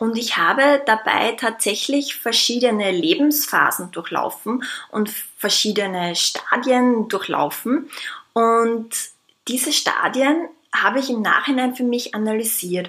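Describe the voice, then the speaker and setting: A woman speaks at a fairly slow pace in a fairly high pitch, with a bright, sharp tone and ordinary pitch variation. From Austria. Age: 20s. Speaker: psychologist. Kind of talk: audiobook-style talk.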